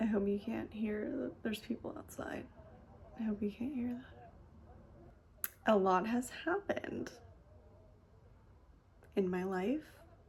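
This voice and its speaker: Over noticeable background noise, a woman with an American accent talks at a very slow pace with long, frequent pauses, her fairly high voice showing ordinary pitch variation. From Southern California. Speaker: hypnosis practitioner. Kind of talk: casual talk to camera.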